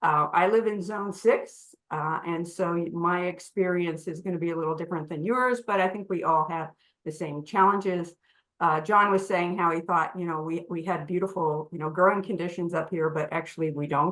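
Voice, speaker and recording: An unremarkable speaking voice comes from a woman with fairly low pitch, fairly even intonation and a moderate pace. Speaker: garden designer and horticulture teacher. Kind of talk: lecture.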